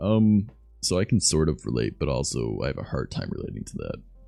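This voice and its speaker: With music in the background, someone with an American accent talks at a fairly quick pace, the pitch swinging very widely. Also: man. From Southern Ontario, Canada. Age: 20s. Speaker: streamer. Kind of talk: casual chat.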